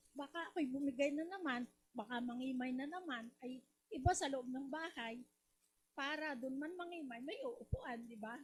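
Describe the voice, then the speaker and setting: Her high voice moves with ordinary pitch variation as this woman speaks at a fairly slow pace. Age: 60s. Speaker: product user giving testimonial. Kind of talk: testimony.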